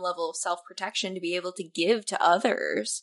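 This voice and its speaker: A woman is speaking. Her pitch is medium. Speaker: podcast host. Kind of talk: casual chat. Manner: animated, enthusiastic.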